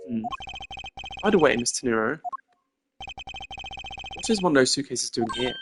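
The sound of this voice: A woman in a put-on character voice speaks at an extremely low pitch with a slightly husky edge, lively intonation and a moderate pace, over faint music in the background.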